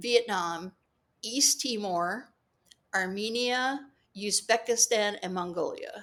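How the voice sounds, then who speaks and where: In a very clean recording with a silent background, a woman with a fairly high pitch talks at a very slow pace, with ordinary pitch variation and long, frequent pauses. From California, San Jose. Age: 60s. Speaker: author and international legal consultant. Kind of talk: casual interview chat. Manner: halting, with fillers and restarts.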